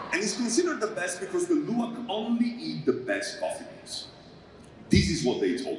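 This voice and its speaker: With audible room echo and noticeable background noise, a man in an Italian accent talks at a fairly quick pace, his loudness swinging widely. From Italy. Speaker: stand-up comedian. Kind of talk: stand-up. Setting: stage with audience.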